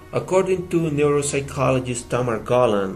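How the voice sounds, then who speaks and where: A man with a Spanish accent talks at a moderate pace, with ordinary pitch variation and audible room echo. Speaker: EFL teacher. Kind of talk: student presentation.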